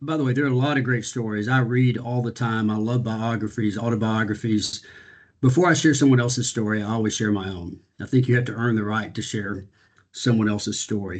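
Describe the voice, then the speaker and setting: At a fairly quick pace, the delivery comes across in an energetic tone. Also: man, medium pitch for a man. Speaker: business executive and speaker. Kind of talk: panel talk on video call. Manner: fast.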